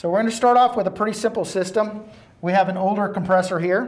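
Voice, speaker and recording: The pace here is fairly quick. The speaker is a man. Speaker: presenter. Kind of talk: tutorial. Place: studio. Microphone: lapel.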